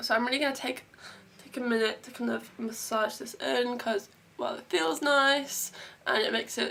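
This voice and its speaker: A woman with an English accent, lively intonation and a moderate pace, over noticeable background noise. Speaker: beauty vlogger. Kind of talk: tutorial. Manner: casual chatty.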